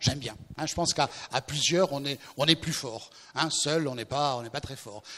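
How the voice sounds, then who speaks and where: The man's voice has a bright, sharp tone and a fairly high pitch. He keeps a moderate pace with ordinary pitch variation. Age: 60s. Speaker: recruitment consultant. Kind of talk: staged sketch and speech at a new year event. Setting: event with audience.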